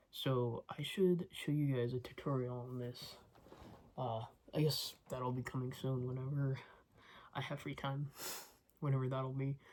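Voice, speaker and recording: Mumbling at a fairly slow pace, broken by long, frequent pauses. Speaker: crochet vlogger and market seller. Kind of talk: casual vlog talk. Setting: at home at night. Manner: mumbly.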